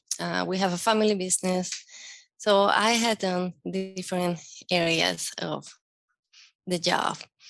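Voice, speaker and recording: Spoken at a fairly slow pace with a Spanish accent, the voice stays monotone and flat, broken by long, frequent pauses. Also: woman, medium pitch for a woman. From Venezuela, with teen years in Mexico. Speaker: educator with a doctorate. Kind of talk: interview. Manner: halting, many fillers.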